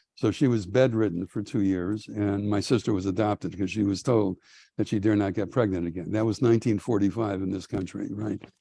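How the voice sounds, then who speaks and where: A man with an American accent speaks with a fairly low pitch and a dark, mellow tone. His intonation is fairly even, and the background is quiet. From US Midwest, Milwaukee. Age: 70s. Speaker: rabbi and professor. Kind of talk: lecture. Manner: halting, many filler ums.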